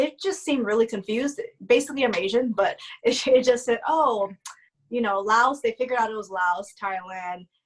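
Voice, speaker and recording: A woman's fairly high, lively voice at a moderate pace. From US West Coast, Oakland, California. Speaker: actress. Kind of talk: casual chat. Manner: mellow.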